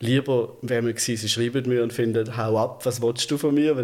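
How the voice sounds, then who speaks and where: In a plain, everyday voice, a man speaks at a medium pitch. He moves at a fairly quick pace. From Germany. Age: 50s. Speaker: transgender man telling his life story. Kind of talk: casual interview conversation.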